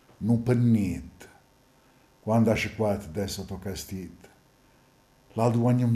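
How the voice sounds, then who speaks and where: This man's voice is medium in pitch, somewhat breathy, with a dark, mellow tone. He talks at a very slow pace. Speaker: stage actor. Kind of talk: dialect poetry reading.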